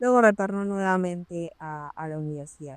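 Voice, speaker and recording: This woman has a normal speaking voice at medium pitch, with ordinary pitch variation, at a fairly slow pace. The sound is dry and close, with no echo. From Peru. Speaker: occupational safety professional. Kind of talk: interview storytelling.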